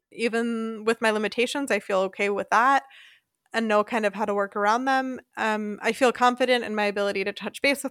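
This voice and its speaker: On a very clean recording with a silent background, a woman with an American accent uses a normal speaking voice, fairly high in pitch, with fairly even intonation at a moderate pace. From US, Philadelphia suburbs, Pennsylvania. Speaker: expat podcast host. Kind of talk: casual chat.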